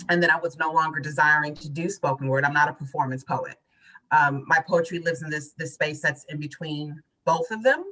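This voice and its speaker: The voice has a bright, sharp tone, moves at a fairly quick pace, and shows ordinary pitch variation. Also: woman, very deep, low pitch for a woman. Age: 40s. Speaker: poet and author. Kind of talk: interview conversation.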